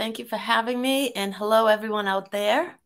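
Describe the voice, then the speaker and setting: An American accent at a moderate pace, with ordinary pitch variation and a very clean recording over a silent background. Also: woman. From Massachusetts (Waltham). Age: 60s. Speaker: holistic wellness coach, retired corporate worker. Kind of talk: interview.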